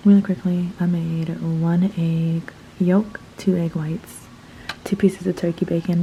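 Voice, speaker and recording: A woman is whispering. Noticeable background noise sits behind her. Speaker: vlogger. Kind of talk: casual vlog narration. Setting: at home.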